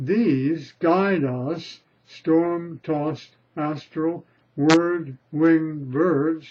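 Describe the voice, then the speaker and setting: A man mumbles at a very slow pace in a fairly high pitch with ordinary pitch variation. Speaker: poet reading own work. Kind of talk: poetry reading. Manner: mumbling.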